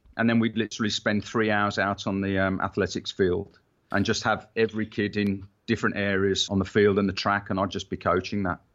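A man with a British accent speaks at a fairly low pitch in a monotone, flat intonation. His pace is fairly quick, with hardly any pauses. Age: 50s. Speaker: personal trainer. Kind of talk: interview.

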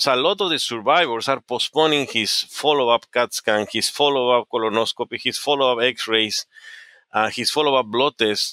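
With a Spanish accent, a man talks at a fairly quick pace in a bright, sharp tone and very even loudness, the sound dry and close with no echo on a very clean recording with a silent background. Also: medium pitch for a man, ordinary pitch variation. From Peru. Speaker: oncologist. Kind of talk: interview. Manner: halting.

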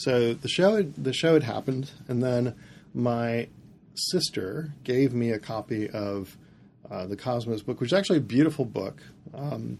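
With an American accent, a man speaks in a dark, mellow tone at a moderate pace. His pitch variation is ordinary and the background quiet. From US Midwest, northern Indiana. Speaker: planetarium director. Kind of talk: interview conversation.

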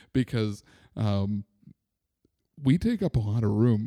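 This man's pitch varies in an ordinary way as he talks at a fairly slow pace. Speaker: soccer supporters podcast host. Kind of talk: casual chat. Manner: loud.

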